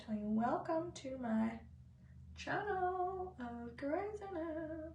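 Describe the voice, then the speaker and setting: With lively intonation and a high pitch, a woman speaks very slowly amid audible room echo. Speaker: beauty vlogger. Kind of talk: makeup tutorial chat. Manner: casual, chatty.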